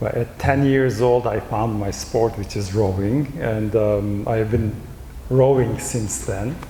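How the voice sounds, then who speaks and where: A man talks very slowly in a medium pitch with ordinary pitch variation. Noticeable background noise and audible room echo fill the recording. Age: 60s. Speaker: professor and rowing coach. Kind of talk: panel discussion.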